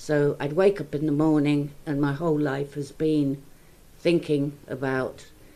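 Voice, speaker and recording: A woman's very deep, low voice with a dark, mellow tone, flat monotone intonation and a moderate pace. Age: 70s. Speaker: person in recovery from eating disorder. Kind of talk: podcast discussion.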